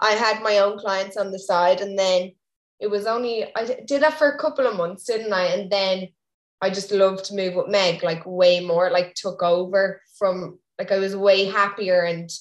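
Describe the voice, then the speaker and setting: A woman talks at a moderate pace with a medium pitch and ordinary pitch variation. Hers is an ordinary speaking voice. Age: 20s. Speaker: Irish dancer and coach. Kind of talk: casual chat.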